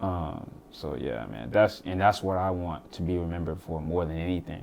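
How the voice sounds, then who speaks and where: At a moderate pace, a man with an American accent talks in a very deep, low pitch with ordinary pitch variation. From US South, Florence, South Carolina. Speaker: musician and podcaster. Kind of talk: casual interview.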